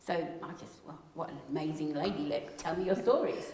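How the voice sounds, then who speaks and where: A woman talks at a moderate speed, with room echo audible and background noise noticeable. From South East England (London, Kent). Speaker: playwright and wildlife photographer. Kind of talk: interview. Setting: event with audience.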